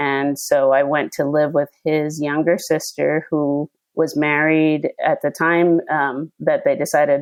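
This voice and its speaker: A woman talks at a fairly slow pace in a very deep, low pitch with monotone, flat intonation. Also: very even loudness. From northern New Jersey. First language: Spanish. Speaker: pediatrician. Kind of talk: interview.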